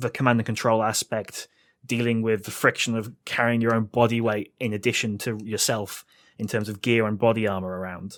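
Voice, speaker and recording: A man with a British accent talks at a fairly quick pace in a flat monotone, his pitch medium, on a very clean recording with a silent background. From Britain. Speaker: wargaming blogger. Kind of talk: podcast interview. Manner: halting, many fillers.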